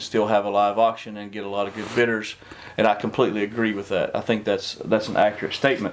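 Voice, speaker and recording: A man talks at a fairly quick pace while noticeable background noise fills the clip. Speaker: auctioneer and realtor. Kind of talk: business talk show host. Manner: casual, upbeat.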